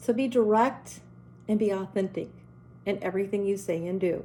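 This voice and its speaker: A woman talks with a dark, mellow tone. Her intonation stays fairly even. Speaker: educator speaking to parents and teachers. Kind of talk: motivational talk to camera. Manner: direct, emphatic.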